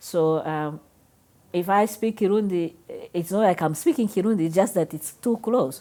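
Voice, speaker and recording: Speaking with a Rwandan accent, a woman uses a fairly low pitch, ordinary pitch variation and a moderate pace. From Rwanda, later Namibia. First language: Kinyarwanda. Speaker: interviewee. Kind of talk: interview. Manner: halting.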